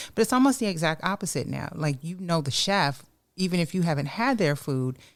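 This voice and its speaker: A woman talks at a fairly low pitch and a fairly quick pace with very wide pitch swings. The recording is very clean, with a silent background. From New York, the Bronx. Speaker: podcast host. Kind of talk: podcast interview. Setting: studio.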